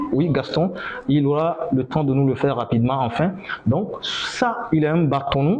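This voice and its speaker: Noticeable background noise and audible room echo surround the recording. A man talks fairly slowly at a fairly high pitch, with lively intonation. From northern Benin. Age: 30s. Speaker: griot musician. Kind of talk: lecture.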